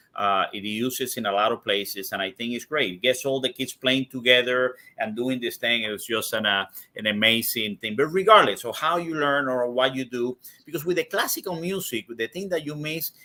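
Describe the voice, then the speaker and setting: A man's medium-pitched voice with a Spanish accent, bright and sharp in tone, with lively intonation and a fairly quick pace, in a very clean recording with a silent background. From Cuba. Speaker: cigar industry executive. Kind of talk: interview conversation. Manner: halting, many repetitions.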